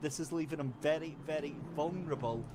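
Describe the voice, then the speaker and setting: A man with a Scottish accent and a fairly high pitch, over noticeable background noise. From Scotland. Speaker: sim racing commentator. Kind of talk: live commentary. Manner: animated.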